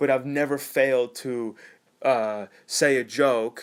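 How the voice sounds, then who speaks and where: A man speaks at a very slow pace in a monotone, flat intonation. The recording is very clean, with a silent background. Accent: Californian. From California. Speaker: vlogger. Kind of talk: casual monologue to camera. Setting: self-recorded video. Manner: halting, many restarts.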